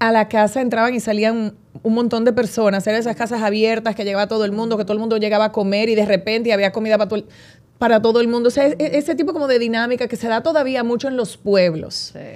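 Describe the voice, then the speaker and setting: The speech rushes along at a very fast pace with fairly even intonation. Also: woman, fairly high pitch for a woman. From Dominican Republic, San Francisco de Macorís. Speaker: radio host and actress. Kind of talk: casual interview chat.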